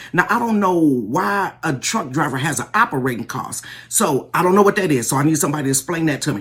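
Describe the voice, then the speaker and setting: Very fast, animated delivery with hardly any pauses. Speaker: social media commentator. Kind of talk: casual commentary vlog.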